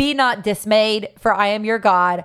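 The speaker talks at a moderate pace in an animated, enthusiastic tone. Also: woman. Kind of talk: sermon-like devotional talk, warm and encouraging, with scripture quotes. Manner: animated, enthusiastic, earnest; repetitive, reassuring, preacher-like cadence.

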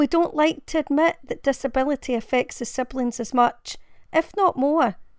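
On a very clean recording with a silent background, a woman speaks at a moderate pace in a high pitch with ordinary pitch variation. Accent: Glaswegian. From Glasgow, Scotland. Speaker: blogger and parent reading her own blog post. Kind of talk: dramatic narration of a personal blog essay, reading aloud with emotional emphasis. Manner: earnest, heartfelt, measured and emotive, building to a consoling direct address.

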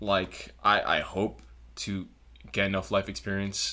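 With an American accent, the bright, sharp voice carries vocal fry on a very clean recording with a silent background. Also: man. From South Florida (Broward County). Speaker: engineering student. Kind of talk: casual interview chat.

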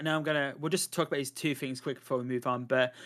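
A man with a British accent speaks on a very clean recording with a silent background. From Britain. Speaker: podcast host. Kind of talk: casual chat.

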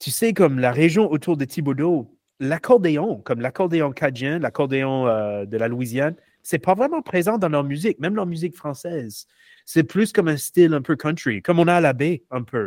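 A man with an unremarkable speaking voice talks at a moderate pace, fairly high-pitched and with lively intonation, in a dry, close sound with no echo on a very clean recording with a silent background. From US South, Louisiana (Shreveport). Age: 40s. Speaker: researcher. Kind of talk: casual interview.

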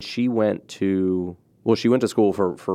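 With an American accent, a man speaks in a dark, mellow tone and fairly even intonation. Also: quiet background. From US Mid-Atlantic, Cecil County, Maryland. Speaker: podcast host, former journalist. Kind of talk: interview. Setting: studio.

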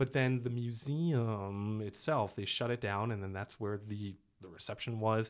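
A man speaks at a medium pitch and a fairly slow pace. His pitch varies in an ordinary way, and he has an ordinary speaking voice. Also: very clean recording, silent background. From US East Coast. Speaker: actor and dialect coach. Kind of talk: casual chat.

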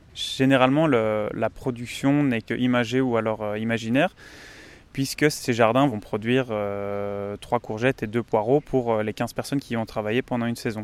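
A man with a medium pitch keeps his intonation fairly even while talking at a moderate pace. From Belgium. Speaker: engineering student. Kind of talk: interview. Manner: halting, many repetitions.

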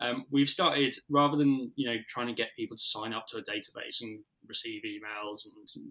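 This man has a British accent and a bright, sharp tone. He speaks at a moderate pace. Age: 30s. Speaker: marketing agency director. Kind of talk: interview. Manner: casual with many fillers.

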